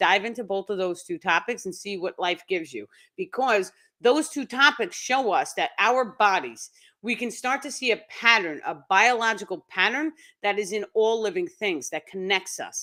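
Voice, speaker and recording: Bright, sharp tone from a woman with a New York accent, lively intonation and a fairly quick pace on a very clean recording with a silent background. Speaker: spiritual teacher. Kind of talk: live stream talk. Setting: live stream.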